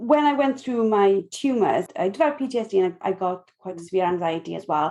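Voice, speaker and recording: A woman speaks with a Welsh accent. She talks at a fairly quick pace with lively intonation. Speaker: podcast host. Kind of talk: podcast interview.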